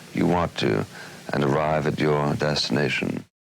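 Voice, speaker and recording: Moderately paced male speech under noticeable background noise. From United States. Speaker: author and TV commentator. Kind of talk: instructional narration.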